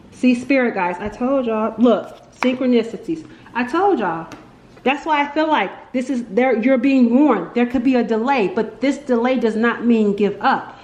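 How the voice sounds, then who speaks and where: Her high-pitched voice carries ordinary pitch variation, with audible room echo and noticeable background noise around this woman. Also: moderate pace. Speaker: tarot reader. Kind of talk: tarot reading monologue. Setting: at home, window open. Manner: casual, filler-heavy; animated, got loud then quieter.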